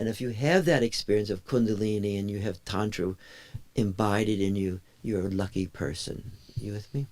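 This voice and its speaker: This is an unremarkable speaking voice. It keeps a moderate tempo and normal pitch variation. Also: man, fairly low pitch for a man. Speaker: meditation teacher. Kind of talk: lecture. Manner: interactive, checking in with audience.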